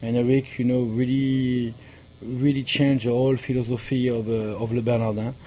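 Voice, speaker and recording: With a strong French accent, a man talks at a moderate pace in a dark, mellow tone, his medium pitch kept in monotone, flat intonation. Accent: thick French. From France. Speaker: pastry chef. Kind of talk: interview. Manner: halting.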